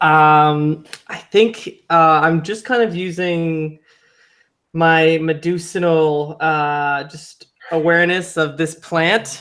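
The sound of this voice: A man speaks slowly in a fairly high voice with a fairly bright tone. His intonation stays fairly even.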